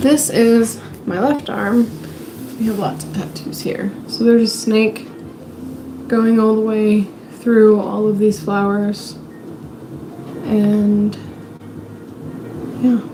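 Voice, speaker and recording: Noticeable background noise sits behind a woman with a fairly high pitch and fairly even intonation. She talks at a very slow pace with long, frequent pauses. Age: 20s. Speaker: livestreamer. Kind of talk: casual chat. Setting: home livestream.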